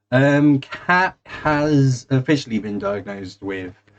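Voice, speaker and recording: A man speaks in a southern English accent with ordinary pitch variation. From England, East Anglia (Suffolk). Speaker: gaming streamer. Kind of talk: casual chat. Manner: halting, many fillers.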